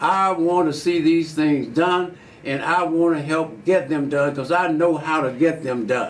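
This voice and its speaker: In an Alabama accent, a man with a fairly high pitch speaks at a fairly slow pace with hardly any pauses and ordinary pitch variation, with audible room echo. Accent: Southern US (Alabama). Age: 80s+. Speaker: politician. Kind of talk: interview. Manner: halting.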